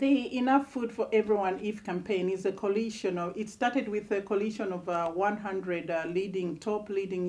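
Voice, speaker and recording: There is noticeable background noise while a woman talks with ordinary pitch variation. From Zambia. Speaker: charity campaigner. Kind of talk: TV interview.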